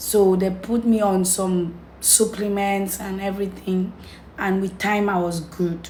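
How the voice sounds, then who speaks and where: A woman with a medium pitch holds fairly even intonation while noticeable background noise goes on. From Cameroon. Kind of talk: casual talk to camera.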